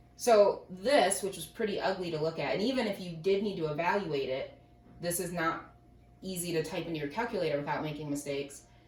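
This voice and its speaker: A woman with a fairly low voice and ordinary pitch variation speaks at a fairly quick pace with long, frequent pauses. There is audible room echo and noticeable background noise. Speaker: math teacher. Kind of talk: lecture. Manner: fast.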